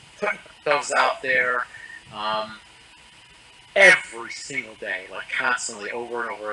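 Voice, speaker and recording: A man talks at a fairly quick pace while noticeable background noise carries on. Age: 60s. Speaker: coaching client giving testimonial. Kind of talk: interview testimony. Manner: halting, many fillers and restarts.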